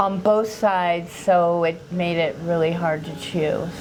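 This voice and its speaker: Audible room echo surrounds the recording. A woman speaks at a very slow pace. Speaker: dental patient. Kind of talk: testimonial interview.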